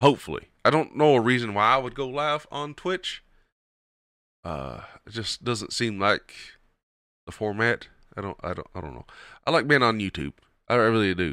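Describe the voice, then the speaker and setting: In a Kentucky accent, a man with medium pitch and vocal fry talks at a moderate pace with an animated, bright, sharp tone, taking long, frequent pauses. His pitch swings very widely and his loudness shifts a lot, all on a very clean recording with a silent background. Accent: Southern US (Kentucky twang). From Kentucky, US South. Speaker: podcast host and streamer. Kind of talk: casual solo show, commentary. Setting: home recording, not live. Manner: casual, rambling, animated.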